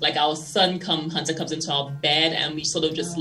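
Music plays in the background behind a woman. Her voice is very deep and low, with fairly even intonation. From St. Lucia, Caribbean. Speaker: fashion magazine editor and publisher. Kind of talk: interview.

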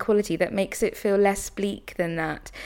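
A woman with a British accent speaks at medium pitch on a very clean recording with a silent background. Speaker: professor, broadcaster and prize judge. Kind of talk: book discussion. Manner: articulate.

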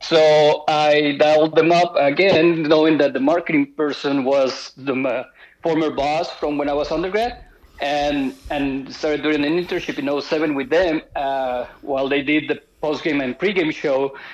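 Fairly slow, fairly even speech in a Spanish accent. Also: man, fairly high pitch for a man. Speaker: sports marketing professional. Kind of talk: casual chat.

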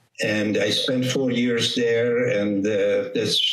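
Speaking with a Hungarian accent, a man talks at a very slow pace. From Hungary. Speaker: vascular surgeon. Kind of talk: interview.

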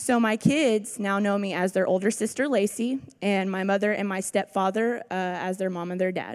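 An unremarkable speaking voice goes at a moderate pace with fairly even intonation. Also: woman, medium pitch for a woman. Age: 20s. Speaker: rehab program student. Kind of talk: testimony. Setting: church with audience.

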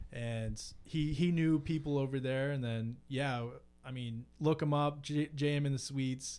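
A man with a normal speaking voice, fairly high pitch, fairly even intonation and a fairly slow pace. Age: 20s. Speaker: guitarist and ocean engineer. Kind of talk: casual chat.

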